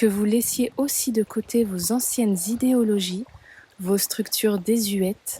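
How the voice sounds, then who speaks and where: The speech moves at a very slow pace with fairly even intonation, and the sound is dry and close with no echo. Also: woman. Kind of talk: spiritual voice-over narration.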